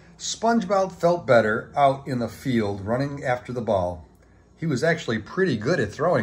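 Text read in an unforced reading voice

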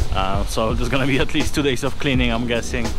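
Delivered at a fairly quick pace, the dry, echo-free voice has music clearly audible behind it. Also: man. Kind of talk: casual vlog chat. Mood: excited, upbeat. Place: street. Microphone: phone near.

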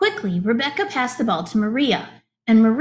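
The background is quiet during this plain reading aloud, and the pitch moves by a normal amount.

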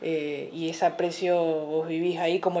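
The tone is dark and mellow. Intonation stays fairly even at a moderate pace. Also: woman. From Argentina, Entre Ríos (Colón); Entre Ríos, Argentina. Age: 40s. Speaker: fitness coach and athlete; interview guest. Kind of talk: casual interview chat. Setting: TV studio. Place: home room.

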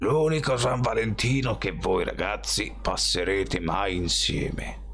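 A man's put-on character voice, croaky and raspy, at a fairly slow pace over clear background noise. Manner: mocking, menacing.

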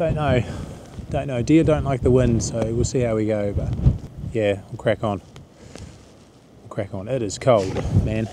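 A man speaks at a moderate pace with ordinary pitch variation and long, frequent pauses. The sound is dry with no echo, with noticeable background noise. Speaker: hunter vlogger. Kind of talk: casual vlog chat. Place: open country. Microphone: phone near.

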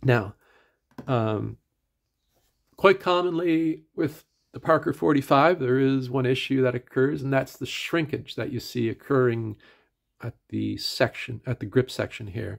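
A man with a medium-pitched voice and ordinary pitch variation speaks at a fairly slow pace with long, frequent pauses on a very clean recording with a silent background. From Atlantic Canada. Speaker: pen reviewer / YouTuber. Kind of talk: casual product review video. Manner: halting, filler-heavy; conversational, casual.

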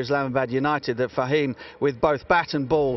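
A man talks at a fairly quick pace. His intonation stays fairly even.

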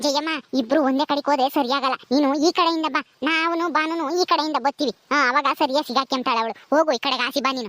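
In a cartoonish character voice, a woman speaks at a high pitch and a moderate pace with fairly even intonation. The sound is dry and close with no echo. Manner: loud, bossy.

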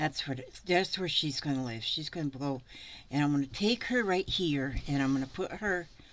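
A woman with an American accent, very deep and low in pitch, with ordinary pitch variation. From US. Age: 70s. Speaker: craft vlogger. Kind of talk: casual tutorial. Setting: home craft room. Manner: chatty, rambling. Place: home room. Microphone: camera far.

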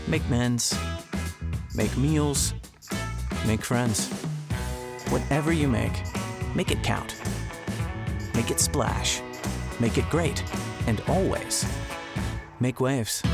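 A man with long, frequent pauses, clear music in the background and a dry sound with no echo. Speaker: voice actor. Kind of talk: promo commercial read. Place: booth.

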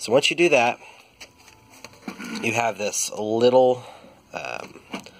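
A man talks at a very slow pace, his loudness rising and falling sharply. Noticeable background noise runs underneath. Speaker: truck owner, DIY mechanic. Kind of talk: casual how-to tutorial. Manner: hesitant, many fillers.

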